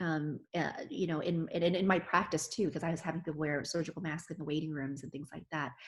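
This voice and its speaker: A woman with a plain, everyday voice speaks at a fairly quick pace with hardly any pauses, a fairly low pitch and fairly even intonation. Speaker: physician. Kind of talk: interview answer.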